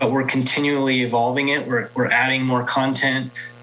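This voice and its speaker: A medium-pitched man at a moderate pace, monotone and flat, with noticeable background noise. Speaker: state agency marketing manager. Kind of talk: conference presentation. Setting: virtual event presentation.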